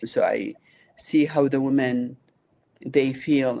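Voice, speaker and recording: The voice has a dark, mellow tone and an Iraqi accent. It moves at a fairly slow pace with fairly even intonation. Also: woman. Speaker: nonprofit founder and engineer. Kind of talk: interview conversation.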